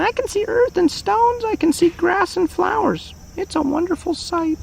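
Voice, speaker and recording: Against clear background noise, a man puts on a squeaky character voice at an extremely high pitch. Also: moderate pace. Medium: read story.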